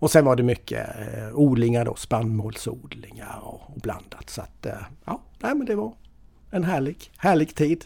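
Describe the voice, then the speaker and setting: A man with a medium-pitched, dark, mellow tone speaks at a fairly slow pace with lively intonation. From Sweden, Småland east coast (Mönsterås). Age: 50s. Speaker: financial advisor. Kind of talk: casual interview. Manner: halting, many fillers and repetitions.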